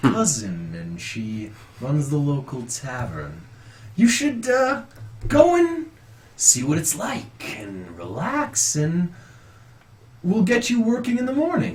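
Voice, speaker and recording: A man puts on a character voice, fairly high in pitch, talking at a fairly slow pace with long, frequent pauses. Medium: actual play. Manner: fawning, grandiose.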